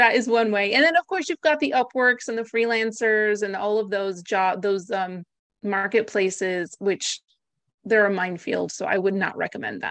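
An unremarkable speaking voice from a woman with an American accent, medium pitch, ordinary pitch variation and a moderate pace, in a dry, close sound with no echo. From US / Greece (Greek American). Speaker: virtual assistant business founder. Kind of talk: interview conversation. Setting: video call.

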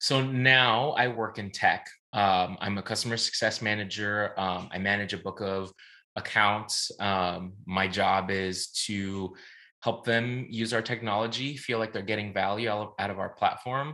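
With an American accent, a man speaks fairly slowly in a bright, sharp tone, his pitch fairly low and his intonation fairly even. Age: 20s. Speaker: podcast guest, tech worker. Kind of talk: casual chat.

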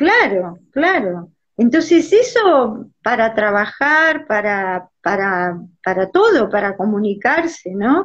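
A woman speaks very slowly with a Rioplatense accent, her voice fairly high and somewhat breathy. Her pitch swings very widely. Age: 60s. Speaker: astrologer. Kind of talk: casual chat.

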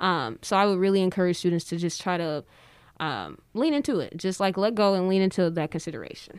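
With an American accent, a woman speaks in an unremarkable speaking voice at a medium pitch, her intonation lively. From Detroit, Michigan, US. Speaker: public health graduate student, wellness program assistant. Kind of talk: casual interview.

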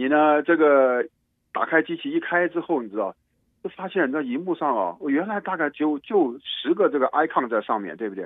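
This man's voice sits at a fairly high pitch, moving at a moderate pace with lively intonation. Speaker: computer technician. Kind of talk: casual tech explainer chat. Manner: animated, many repeated fillers.

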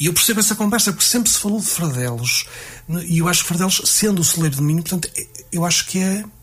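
A man's high-pitched voice at a very fast pace, with very even loudness and noticeable background noise. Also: ordinary pitch variation. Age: 40s. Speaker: music teacher and association president. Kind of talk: radio interview. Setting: radio studio. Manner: halting.

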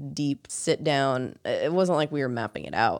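A woman's very deep, low voice with ordinary pitch variation at a moderate pace, against a quiet background. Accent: American. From US suburbs. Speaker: podcast co-host. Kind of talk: casual chat.

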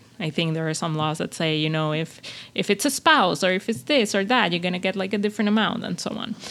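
A woman speaks at a medium pitch with a Spanish accent. Her pace is very fast. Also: lively intonation. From Venezuela. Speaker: career coach podcast host. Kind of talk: personal monologue podcast. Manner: unscripted, with many fillers and repetitions.

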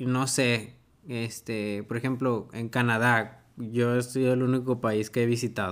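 A man is speaking. His pace is very slow. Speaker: podcast co-host. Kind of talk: casual chat.

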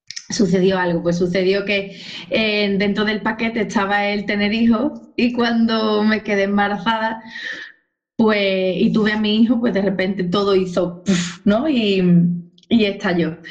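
Speaking at a fairly slow pace, a woman at medium pitch keeps a fairly even intonation, with audible room echo. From Spain, Cádiz (Andalusia). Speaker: dance teacher, former social worker. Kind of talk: interview.

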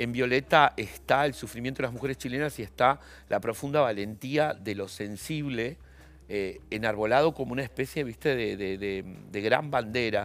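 Medium in pitch, a man speaks at a moderate pace with ordinary pitch variation. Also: very clean recording, silent background. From Argentina. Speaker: journalist and novelist. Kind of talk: interview. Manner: halting.

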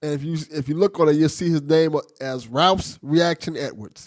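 The voice is a plain, everyday voice from a man, fairly high in pitch. He speaks at a moderate pace, and the sound is dry and close with no echo. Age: 40s. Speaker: podcast host. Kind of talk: casual chat; scripted outro.

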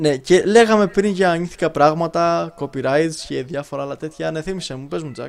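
A man with a fairly high pitch speaks in a plain, everyday voice at a moderate pace, with hardly any pauses. His pitch varies in an ordinary way, but his loudness swings widely. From Greece. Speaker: podcast co-host. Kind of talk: casual chat.

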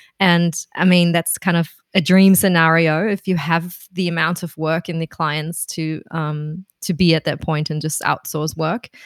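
A woman's fairly low, flat, monotone voice with a German accent, at a fairly slow pace with hardly any pauses, in a dry, close sound with no echo. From Germany, Berlin. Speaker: freelance copywriter and translator. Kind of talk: casual interview.

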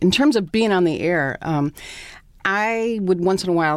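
Here is a woman with a plain, everyday voice. Her pitch sits fairly low, with ordinary variation. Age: 50s. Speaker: retired TV broadcaster. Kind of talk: casual interview.

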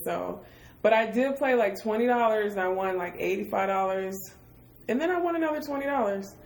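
With an American accent, a woman talks at a fairly quick pace in a normal speaking voice with lively intonation. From Michigan, US. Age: 30s. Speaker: podcast host, artist. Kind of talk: casual chat. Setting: hotel room.

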